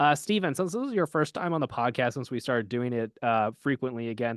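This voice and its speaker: A man talks at a very fast pace with lively intonation. The sound is dry and close with no echo, and the background is quiet. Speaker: podcast host. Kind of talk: casual chat.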